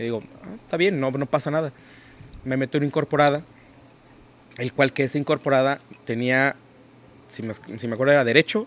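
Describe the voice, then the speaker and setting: A man with a fairly high voice talks at a fairly quick pace, with ordinary pitch variation, big swings in loudness and long, frequent pauses. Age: 40s. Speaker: financial advisor and entrepreneur; podcast guest. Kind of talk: interview conversation. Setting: hotel recording location. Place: open country. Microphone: studio mic.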